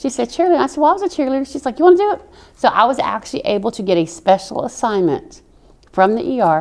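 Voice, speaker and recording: Very fast, high-pitched speech from a woman with a strong Southern US accent and very wide pitch swings. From military brat, mainly Oklahoma. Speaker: army veteran. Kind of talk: interview. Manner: animated.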